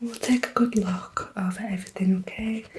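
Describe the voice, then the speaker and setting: Soft-spoken and gentle in tone, a woman talks at a medium pitch with fairly even intonation over noticeable background noise. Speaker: ASMR artist. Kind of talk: ASMR roleplay, student nurse, personal attention. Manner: soft-spoken, gentle.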